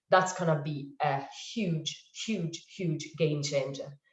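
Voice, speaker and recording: Audible room echo surrounds a woman's voice. She speaks at a fairly slow pace with fairly even intonation. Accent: Italian. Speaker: advertising industry panelist. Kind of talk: webinar panel discussion. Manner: hesitant, many fillers.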